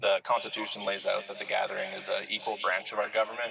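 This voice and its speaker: A man rattles off his words very fast while noticeable background noise fills the recording. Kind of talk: council meeting debate. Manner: halting, many fillers.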